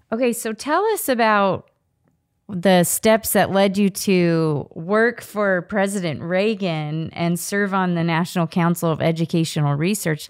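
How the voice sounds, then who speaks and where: Against a quiet background, a woman speaks with ordinary pitch variation. Her pace is fairly slow. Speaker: podcast co-host. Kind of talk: casual interview. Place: home room. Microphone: studio mic.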